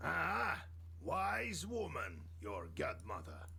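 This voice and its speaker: A put-on character voice at a very slow pace. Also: man, very deep, low pitch for a man. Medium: video game.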